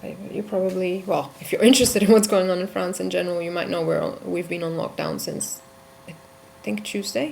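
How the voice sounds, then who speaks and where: A soft-spoken woman talks at a fairly quick pace with big swings in loudness, and room echo can be heard. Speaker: vlogger. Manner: halting.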